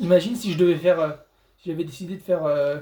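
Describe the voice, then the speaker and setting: A loud man's voice, high in pitch, with ordinary pitch variation. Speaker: gaming youtuber. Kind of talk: gameplay commentary. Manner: halting, repetitive stammering.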